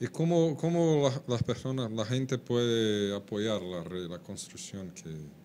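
A very slow man's voice with a Portuguese accent, dark and mellow in tone, with very wide pitch swings and hardly any pauses. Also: medium pitch for a man. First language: Portuguese (speaking Spanish). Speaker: webcast host. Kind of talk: live webcast interview.

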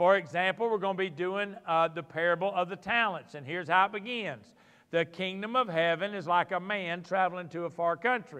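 Over a quiet background, a man speaks at a moderate pace. His voice is high in pitch. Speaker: teacher or pastor. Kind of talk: sermon. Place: church.

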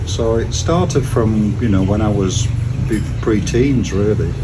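Over noticeable background noise, a man speaks very slowly in a fairly low pitch with ordinary pitch variation. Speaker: interviewee. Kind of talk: interview answer. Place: garden. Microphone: camera far.

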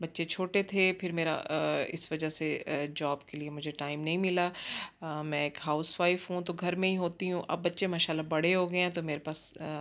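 A woman with a fairly low pitch speaks at a moderate pace in a monotone, flat intonation. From Pakistan, Jhang (Punjab); Punjab, Pakistan. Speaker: cooking vlogger, housewife; cooking vlogger. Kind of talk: casual vlog narration. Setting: outdoors in a park, then home kitchen. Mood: relaxed, friendly. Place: garden. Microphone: phone near.

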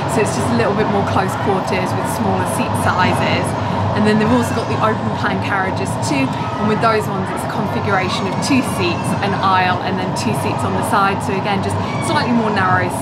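With music in the background, a woman talks at a fairly quick pace. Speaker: travel vlogger. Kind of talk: casual vlog chat. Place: train. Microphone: phone near.

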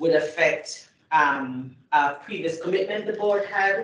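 Audible room echo is present. A woman speaks at a very slow pace. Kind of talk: formal meeting remarks. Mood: earnest, concerned. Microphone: video call.

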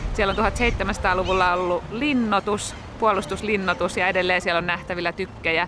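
A woman talks at a fairly quick pace with ordinary pitch variation. The sound is dry with no echo, and there is noticeable background noise. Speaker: family vlogger. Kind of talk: casual vlog chat. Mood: cheerful, smiling. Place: waterside. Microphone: phone near.

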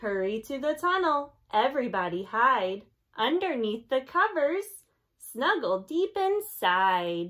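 Very slowly, a woman talks at a high pitch with very wide pitch swings. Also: quiet background. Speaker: teacher. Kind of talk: read-aloud storytime for children. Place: home room. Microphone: phone near.

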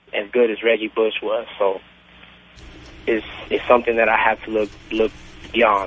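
Over noticeable background noise, a man of medium pitch talks at a moderate pace. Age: 20s. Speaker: caller. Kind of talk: phone-in call. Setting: phone call.

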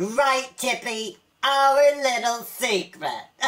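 A female-sounding, cartoonish character voice with a high pitch and a very slow pace. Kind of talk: comedy web series dialogue. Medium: puppet. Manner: smooth, schmoozing, showbiz-agent flattery.

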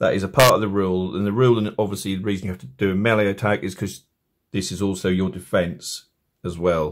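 In an English accent, the speaker goes at a fairly quick pace over noticeable background noise. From England. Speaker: tabletop game tutorial maker. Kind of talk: tutorial.

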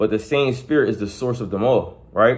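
Moderate pace and ordinary pitch variation from a male voice. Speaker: preacher. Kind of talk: sermon. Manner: conversational, repetitive; earnest, exhorting. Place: home room. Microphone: phone near.

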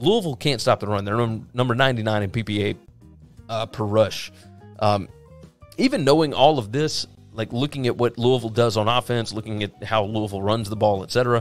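Music plays in the background. The sound is dry with no echo. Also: man, ordinary pitch variation, moderate pace. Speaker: sports betting analyst. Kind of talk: commentary. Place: home room.

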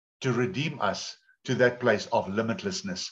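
Over a quiet background, a man with a South African accent speaks at a fairly slow pace. His voice is somewhat breathy, with very wide pitch swings. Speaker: pastor. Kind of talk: sermon. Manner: animated. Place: home room. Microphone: video call.

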